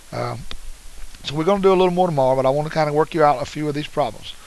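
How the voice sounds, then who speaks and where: A man speaks at a fairly high pitch with ordinary pitch variation. Noticeable background noise is present. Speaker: math teacher. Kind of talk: tutorial. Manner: fast; casual, encouraging.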